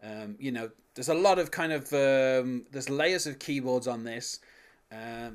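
The recording is very clean with a silent background, and the voice carries a British accent. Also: man. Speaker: podcast host. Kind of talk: casual podcast discussion. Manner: hesitant, filler-heavy.

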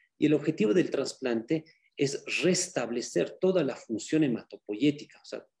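Dark, mellow tone with lively intonation at a moderate pace. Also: man. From Bolivia. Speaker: medical doctor, cancer specialist. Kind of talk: lecture. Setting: video call.

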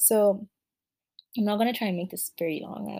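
A woman speaks in a dark, mellow tone that is somewhat breathy. Her pitch varies in an ordinary way. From Kenya. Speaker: podcast host. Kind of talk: solo podcast monologue. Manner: casual, with many fillers.

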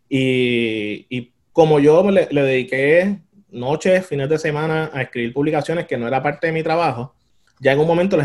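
A man speaks in a plain, everyday voice. His pitch is fairly high, with ordinary pitch variation. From Puerto Rico. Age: 30s. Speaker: demographer. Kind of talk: interview.

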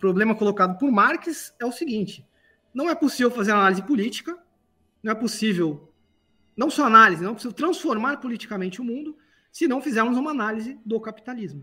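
Projecting a raised voice, a man talks at a fairly quick pace with high pitch and lively intonation. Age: 40s. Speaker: philosophy professor. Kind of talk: casual chat.

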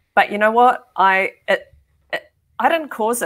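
Very wide pitch swings mark a woman's speech in a New Zealand accent. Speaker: tech executive. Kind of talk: casual chat.

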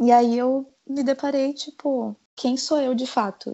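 This woman's high-pitched voice stays in a monotone, flat intonation. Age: 20s. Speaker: medical student. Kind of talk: casual chat.

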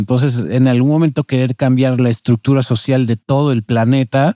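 A man's dark, mellow voice at a medium pitch and moderate pace, fairly even in intonation, with a dry, close sound and no echo. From Mexico City. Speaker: podcast co-host. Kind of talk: reading aloud; casual chat.

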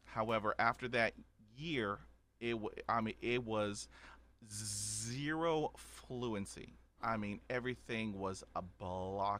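With an American accent, a man speaks at a very slow pace in a bright, sharp tone at a fairly low pitch. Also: ordinary pitch variation. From Texas. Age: 50s. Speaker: podcaster who stutters. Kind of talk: personal testimony in interview. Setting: remote call.

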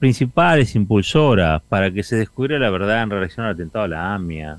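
Talking at a fairly quick pace, a man has a Rioplatense accent. His pitch swings very widely. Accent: Argentine Rioplatense Spanish. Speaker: radio host. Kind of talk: radio editorial.

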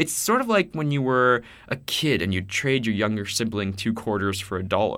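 This man has an unremarkable speaking voice, and his intonation is lively while his pace stays moderate. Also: medium pitch for a man. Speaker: student podcast co-host. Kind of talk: casual chat.

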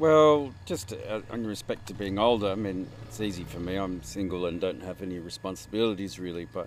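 With an Australian accent, a man speaks at a moderate pace in a fairly low pitch with ordinary pitch variation. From Sydney, Australia. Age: 50s. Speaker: traveler. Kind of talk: casual interview. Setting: traveling in rural Egyptian oasis.

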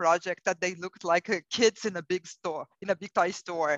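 A woman's medium-pitched voice in a Brazilian accent, with a dry, close sound and no echo. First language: Portuguese. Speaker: corporate HR executive. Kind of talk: interview conversation.

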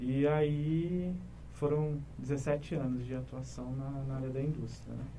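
A man talks at a very slow pace. Room echo can be heard around him. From Paraná, Brazil (São José dos Pinhais). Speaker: clinic manager, business administrator. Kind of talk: interview. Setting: studio.

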